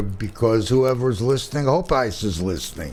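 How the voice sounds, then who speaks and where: A man speaks at a moderate pace in a medium pitch, with audible echo from the room. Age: 70s. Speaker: radio talk show host. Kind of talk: casual interview chat.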